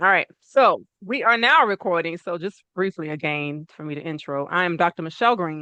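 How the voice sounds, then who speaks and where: A woman talks at a fairly quick pace with lively intonation. She has a plain, everyday voice. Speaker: natural medicine practitioner. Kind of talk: online talk to an audience.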